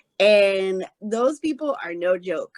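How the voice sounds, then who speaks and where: A woman with a slight Southern US accent speaks at a medium pitch in an animated tone with ordinary pitch variation, the sound dry and close with no echo. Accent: slight Southern twang. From Arkansas. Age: 30s. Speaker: podcast guest, blind adoptive mother. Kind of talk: casual interview chat. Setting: remote call.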